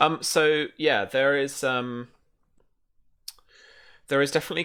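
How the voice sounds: A man speaks with a clear, smooth tone that is also bright and sharp.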